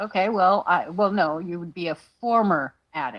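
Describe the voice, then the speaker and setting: This is a woman with an ordinary speaking voice at a medium pitch. She talks at a moderate pace with ordinary pitch variation. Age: 60s. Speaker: livestream panelist. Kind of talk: casual chat.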